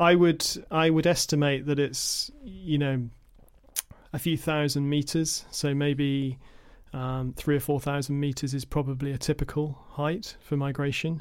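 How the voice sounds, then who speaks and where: A man with an English accent, fairly slow in pace, his intonation fairly even. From England. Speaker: environmental educator and birder. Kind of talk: casual chat. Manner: halting.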